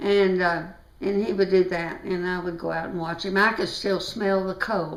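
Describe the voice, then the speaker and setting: A woman in an American accent, medium pitch, moderate pace and monotone, flat intonation, with audible room echo and noticeable background noise. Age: 80s+. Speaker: family elder interviewee. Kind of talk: oral history interview. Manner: halting.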